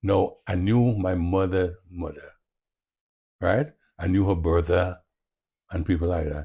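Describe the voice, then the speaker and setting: A man with a very deep, low pitch speaks at a moderate pace, leaving long, frequent pauses. His voice is somewhat breathy, with a dark, mellow tone. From Carriacou, Grenada. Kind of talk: interview answer.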